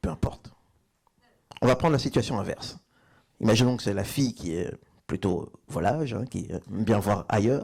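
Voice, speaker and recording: Speaking at a moderate pace and medium pitch, a man uses lively intonation broken by long, frequent pauses. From Belgium. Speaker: stand-up comedian. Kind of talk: live stand-up comedy set.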